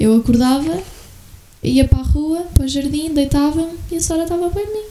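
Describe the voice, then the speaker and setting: A soft-spoken woman in a European Portuguese accent, high-pitched with lively intonation at a moderate pace, over noticeable background noise. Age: 20s. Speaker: podcast guest. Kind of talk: casual chat.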